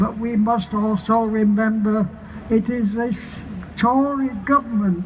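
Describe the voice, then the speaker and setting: Noticeable background noise accompanies a man speaking at a very slow pace. His pitch is high, and his intonation stays fairly even. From Barnsley, Yorkshire, England. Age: 80s+. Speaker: activist. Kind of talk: protest rally speech.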